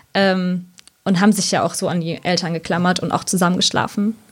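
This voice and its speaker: A woman talks at a very fast pace with vocal fry. Her intonation is monotone and flat. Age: 30s. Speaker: sleep consultant and social worker. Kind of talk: casual interview.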